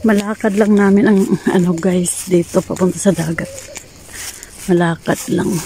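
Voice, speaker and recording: Pausing long and often, a woman of medium pitch speaks in a flat monotone at a moderate pace over noticeable background noise. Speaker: vlogger. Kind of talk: casual vlog while walking. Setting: outdoors, walking to the beach. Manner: quiet, lowered voice.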